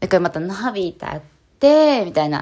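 A woman speaks with an animated tone and very wide pitch swings. The recording is very clean and the background silent. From Japan, Kanagawa. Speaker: street dancer and yoga practitioner. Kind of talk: casual solo podcast talk. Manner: animated, frequent laughter; hesitant with fillers.

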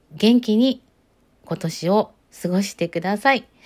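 A woman's calm, medium-pitched voice at a fairly slow pace, with ordinary pitch variation, in a very clean recording with a silent background. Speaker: solo podcaster. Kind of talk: solo talk with listener-letter replies.

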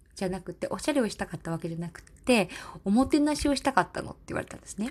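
A woman talks at a very fast pace with lively intonation and a somewhat breathy voice, on a very clean recording with a silent background. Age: 30s. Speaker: podcaster, office worker formerly in elderly care. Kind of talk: casual solo talk. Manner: halting, many fillers.

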